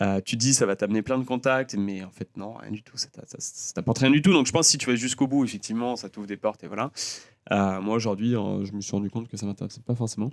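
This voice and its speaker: Speech from a man comes very fast, with ordinary pitch variation. The audio is dry and close, free of echo. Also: medium pitch for a man, big swings in loudness. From France (Lyon), early childhood in the US. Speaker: designer and singer. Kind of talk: casual chat. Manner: hesitant, many fillers.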